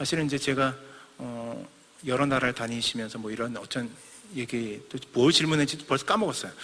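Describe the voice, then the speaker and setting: A man talks at a fairly quick pace in a bright, sharp tone with ordinary pitch variation. Audible room echo surrounds his voice. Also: medium pitch for a man. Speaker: missionary preacher. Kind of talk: sermon. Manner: fast.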